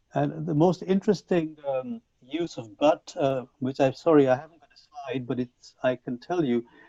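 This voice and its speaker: A man with a Punjabi accent and a fairly high pitch keeps a moderate pace with hardly any pauses, his loudness swinging widely in a dry, close sound with no echo. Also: ordinary pitch variation. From Punjab, India. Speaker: English language teacher trainer. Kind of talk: conference talk. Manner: hesitant with fillers.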